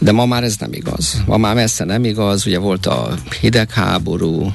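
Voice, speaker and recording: Noticeable noise can be heard in the background. Over it, a man talks with lively intonation. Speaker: diplomacy program head. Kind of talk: radio interview. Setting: studio.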